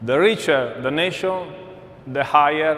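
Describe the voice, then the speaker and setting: A man speaks at a fairly slow pace in a fairly high pitch with ordinary pitch variation, amid noticeable background noise and audible room echo. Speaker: energy company executive. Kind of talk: conference keynote.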